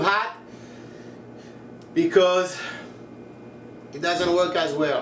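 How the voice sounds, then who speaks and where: A man's high-pitched voice with a slight French accent and fairly even intonation, amid noticeable background noise and audible room echo. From France, Paris. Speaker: cooking tutorial creator. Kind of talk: tutorial. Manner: casual, chatty.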